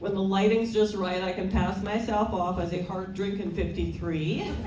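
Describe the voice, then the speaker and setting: Over noticeable background noise and audible room echo, a woman talks at a moderate pace in a medium pitch with fairly even intonation. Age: 60s. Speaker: stand-up comedian. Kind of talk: stand-up.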